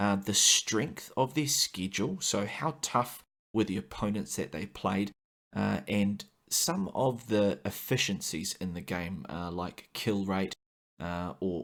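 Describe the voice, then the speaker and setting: A man with a New Zealand accent, fairly low pitch, vocal fry, lively intonation and a fairly slow pace, in a very clean recording with a silent background. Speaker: gaming podcast host. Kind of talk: podcast monologue. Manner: frequent filler 'uh'.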